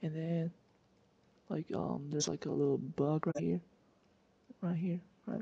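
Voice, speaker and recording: A quiet voice at a moderate pace. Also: woman. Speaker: physics tutor. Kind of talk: casual screen-recorded lesson. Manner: hesitant, many filler words.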